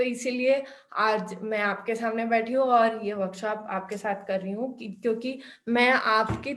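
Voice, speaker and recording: Fairly high in pitch, a woman with a non-native accent speaks with fairly even intonation. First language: not Hindi (speaking Hindi). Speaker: workshop instructor. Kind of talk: online workshop. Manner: halting, many fillers.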